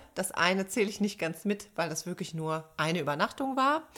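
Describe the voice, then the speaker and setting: A woman's plain, everyday voice at medium pitch and moderate pace, on a very clean recording with a silent background. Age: 30s. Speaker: podcast co-host, psychologist. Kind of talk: casual chat.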